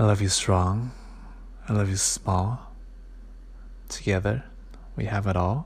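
Taking long, frequent pauses, a man speaks in a gentle, somewhat breathy tone, fairly low in pitch with ordinary pitch variation. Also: fairly slow pace. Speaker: podcast host reading a picture book aloud. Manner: slow, gentle, soft-spoken, unhurried, tender and sing-song; casual and halting with fillers in the intro.

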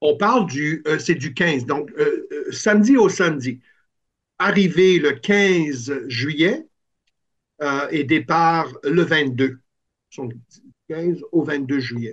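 Against a quiet background, a man speaks at a very slow pace. He leaves long, frequent pauses. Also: fairly high pitch for a man, ordinary pitch variation. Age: 60s. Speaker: musician and music camp organizer. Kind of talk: interview. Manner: halting, many hesitations.

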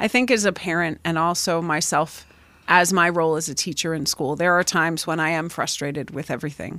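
At a moderate pace, a woman with a Pennsylvania accent speaks in a bright, sharp tone, in a very clean recording with a silent background. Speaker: high school math teacher. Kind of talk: casual chat. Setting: home studio.

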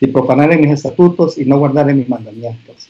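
A man with a fairly high pitch speaks in a dark, mellow tone and fairly even intonation. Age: 50s. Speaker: pastor and business owner. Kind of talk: casual interview conversation.

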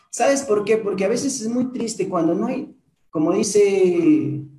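A man's high, animated voice with lively intonation at a fairly slow pace, amid audible room echo. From Peru, Huancabamba (Piura highlands). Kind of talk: motivational testimony.

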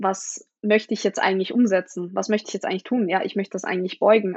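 A woman of medium pitch and fairly even intonation speaks in a plain, everyday voice. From Austria, Vienna. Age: 20s. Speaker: powerlifter. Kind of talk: casual chat.

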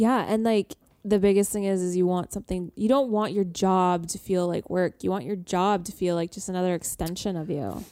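An unremarkable speaking voice from a woman with a Canadian accent, medium in pitch, fairly quick and fairly even in intonation, on a very clean recording with a silent background. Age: 20s. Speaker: PR professional. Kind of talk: casual chat.

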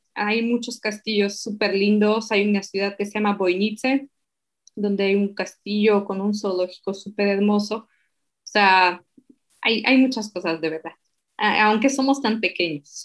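A woman's medium-pitched voice in a Slovak accent, at a fairly slow pace with fairly even intonation. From eastern Slovakia. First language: Slovak (speaking Spanish). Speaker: translator and digital marketer. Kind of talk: interview.

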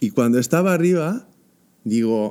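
A man speaks at a fairly slow pace with a dark, mellow tone. His pitch swings very widely. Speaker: comedian guest. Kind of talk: casual chat. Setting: theatre.

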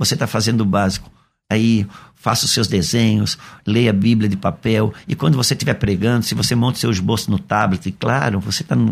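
In a normal speaking voice, the speaker goes at a fairly quick pace with ordinary pitch variation and very even loudness. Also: man, fairly low pitch for a man. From Brazil, Santa Catarina (Itajaí). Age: 50s. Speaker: pastor. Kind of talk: radio interview. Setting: radio studio.

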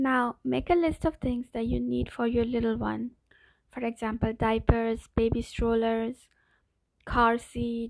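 At a fairly slow pace, a woman with a fairly high pitch speaks in a gentle, soothing tone. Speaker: meditation guide. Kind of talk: guided meditation. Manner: slow, soothing, calm; gentle, hushed pacing with pauses.

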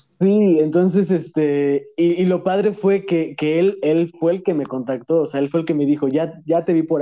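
A man with a Mexican accent speaks at a moderate pace with a dark, mellow tone and a high pitch. His intonation stays fairly even. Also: hardly any pauses. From Mexico (moved from Madrid at 10). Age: 20s. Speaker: content creator. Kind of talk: casual chat.

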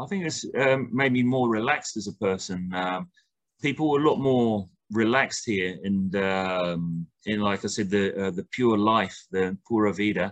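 Here is a man with a southern English accent. His voice is fairly low in pitch. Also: ordinary pitch variation, moderate pace. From southern England, near Brighton. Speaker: football coach. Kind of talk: interview. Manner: halting.

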